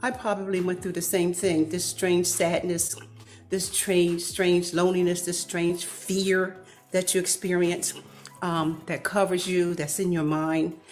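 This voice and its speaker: Woman speaking at a moderate pace with ordinary pitch variation, music in the background. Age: 60s. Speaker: apostle. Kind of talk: testimony.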